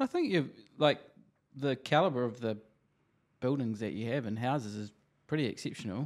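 Delivered fairly quickly in a New Zealand accent, the speech has ordinary pitch variation and long, frequent pauses. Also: man, medium pitch for a man. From New Zealand, Christchurch. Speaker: podcast host, real estate agent. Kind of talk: interview; podcast intro.

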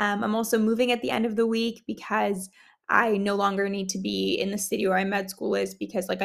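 The speech runs at a very fast pace. The recording is very clean, with a silent background. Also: woman. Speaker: podcast host and medical student. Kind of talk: casual chat. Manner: animated.

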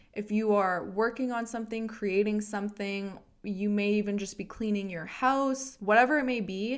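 A woman with an ordinary speaking voice speaks in a Canadian accent at a moderate pace with ordinary pitch variation. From Canada, Edmonton, Alberta. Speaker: podcast host, mindfulness and self-help. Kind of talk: casual monologue, spiritual self-help.

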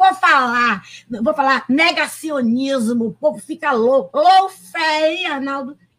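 A woman speaks at a fairly slow pace in a high voice, her tone animated and her pitch swinging very widely. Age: 70s. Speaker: law professor and former prosecutor. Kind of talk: panel debate. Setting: video call.

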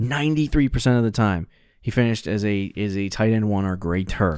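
Speaking at a fairly quick pace, a man with an American accent uses a fairly low pitch and ordinary pitch variation. The recording is very clean, its background silent. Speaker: fantasy football podcast co-host. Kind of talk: casual chat.

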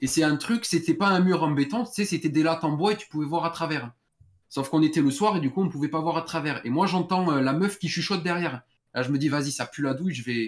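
A man speaks very fast at a fairly high pitch, with ordinary pitch variation. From southern France. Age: 20s. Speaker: caller telling a story. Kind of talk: phone-in storytelling.

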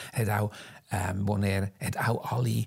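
A man speaks in a somewhat breathy voice at a fairly low pitch. The recording is very clean, with a silent background. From Switzerland, Zug. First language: Swiss German (speaking German). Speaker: costume designer and fashion historian. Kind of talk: interview, life story. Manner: halting, many fillers.

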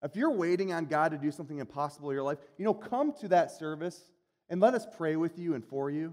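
At a very fast pace, a man talks in a high-pitched voice with ordinary pitch variation. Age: 40s. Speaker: pastor. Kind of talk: sermon.

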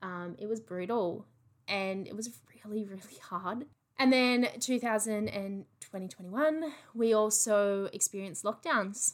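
Using an animated tone and an Australian accent, a woman with a fairly high pitch and ordinary pitch variation speaks with long, frequent pauses. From Australia, regional NSW/Victoria border. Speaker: podcast host. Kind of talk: casual monologue.

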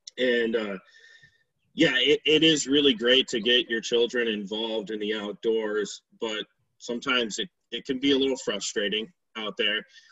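At a moderate pace, a man with an ordinary speaking voice talks in an American accent, medium in pitch with ordinary pitch variation. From western New York. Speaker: outdoor podcast host. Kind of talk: casual chat.

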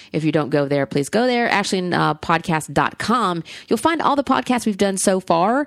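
A woman speaks in an animated tone. She has a Southern US accent. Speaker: podcast host. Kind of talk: casual chat. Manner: rambling, animated.

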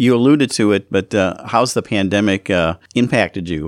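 A man with an American accent on a very clean recording, silent in the background, dry and close with no echo. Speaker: radio host. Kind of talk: radio show. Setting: studio.

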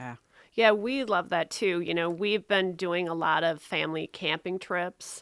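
A woman speaks in a plain, everyday voice, fairly low in pitch with ordinary pitch variation. The recording is very clean, with a silent background. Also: fairly slow pace. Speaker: podcast co-host. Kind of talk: casual chat.

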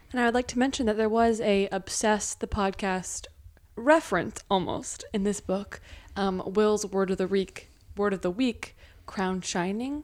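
A woman with an ordinary speaking voice talks at a fairly slow pace, with medium pitch and ordinary pitch variation. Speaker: podcast host. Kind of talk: casual family chat.

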